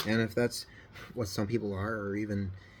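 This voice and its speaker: A man speaks at a moderate speed with fairly low pitch and monotone, flat intonation. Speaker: scale model builder. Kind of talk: casual hobby video talk. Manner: halting.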